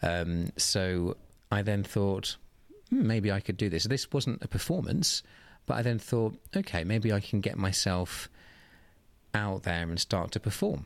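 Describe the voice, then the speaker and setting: A southern English accent comes through at a fairly slow pace with very even loudness and ordinary pitch variation. The recording is very clean, with a silent background. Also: man, fairly low pitch for a man. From southeast England, Oxfordshire. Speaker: drag queen. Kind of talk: interview.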